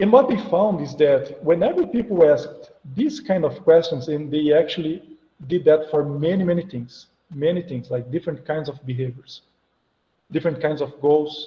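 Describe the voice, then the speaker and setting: A man with a Portuguese accent, fairly high pitch for a man, ordinary pitch variation, a fairly quick pace and long, frequent pauses. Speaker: psychology professor. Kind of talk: lecture. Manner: animated.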